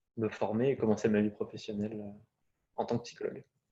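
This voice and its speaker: A man talks in a fairly low pitch with a dark, mellow tone. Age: 20s. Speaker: psychology student. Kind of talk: casual presentation. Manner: hesitant, many fillers.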